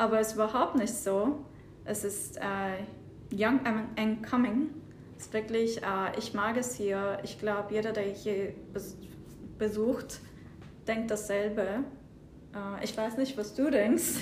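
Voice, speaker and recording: Somewhat breathy and fairly high in pitch, a woman speaks in a Turkish accent at a very slow pace with fairly even intonation. Long, frequent pauses break her speech, and room echo is audible. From southern Turkey. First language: Turkish (speaking German). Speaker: data analyst. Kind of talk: interview. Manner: halting, with hesitations.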